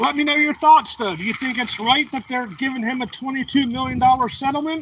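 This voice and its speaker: A man talks at an extremely high pitch. Noticeable background noise runs underneath. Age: 40s. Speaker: live streamer. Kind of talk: casual live-stream talk while riding. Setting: outdoors on a bike ride.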